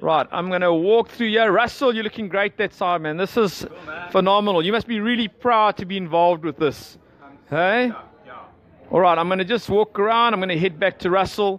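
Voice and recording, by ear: A man's high, fairly bright voice with ordinary pitch variation. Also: moderate pace.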